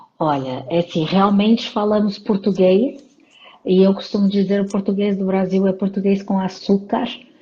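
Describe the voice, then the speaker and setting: A woman with a medium pitch is heard through noticeable background noise. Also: ordinary pitch variation, moderate pace. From Portugal, Porto. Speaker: psychologist and leadership coach. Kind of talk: interview in a live stream. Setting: live stream.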